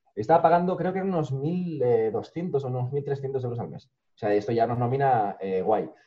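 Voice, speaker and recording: Somewhat breathy, the voice moves at a moderate pace with lively intonation and big swings in loudness. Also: man, medium pitch for a man. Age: 30s. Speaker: youtuber. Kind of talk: interview.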